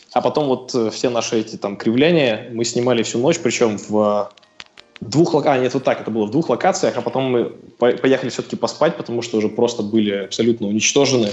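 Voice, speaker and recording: Music plays in the background as a man speaks at a fairly quick pace. His medium pitch shows ordinary variation. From Russia, Sverdlovsk Oblast (Novouralsk). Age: 20s. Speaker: CrossFit athlete. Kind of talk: casual interview. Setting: phone call.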